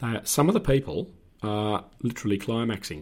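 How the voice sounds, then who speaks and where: A man with an Australian accent speaks at a fairly slow pace in a very clean recording with a silent background. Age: 60s. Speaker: former police officer. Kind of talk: casual chat.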